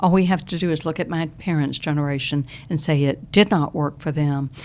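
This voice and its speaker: At a fairly quick pace, a woman with a Southern US accent speaks with a very deep, low pitch and ordinary pitch variation. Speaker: retired Social Security expert. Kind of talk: podcast interview. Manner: animated.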